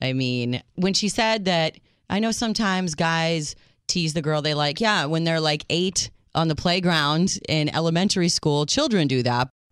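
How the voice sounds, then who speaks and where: An ordinary speaking voice at a moderate pace, with ordinary pitch variation and very even loudness in a very clean recording with a silent background. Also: woman, fairly low pitch for a woman. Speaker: radio co-host. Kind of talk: casual chat.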